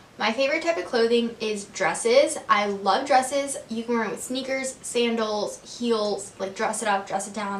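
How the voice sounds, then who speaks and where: With noticeable background noise and audible room echo, a woman with an American accent speaks at a moderate pace and a fairly high pitch. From Texas, Corpus Christi. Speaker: lifestyle vlogger. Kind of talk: casual Q&A vlog. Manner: casual, filler-heavy (um, like).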